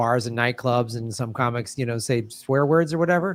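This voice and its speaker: A man with an American accent has a normal speaking voice at a medium pitch and lively intonation. The recording is very clean, with a silent background. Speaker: stand-up comedian and podcaster. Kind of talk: casual chat.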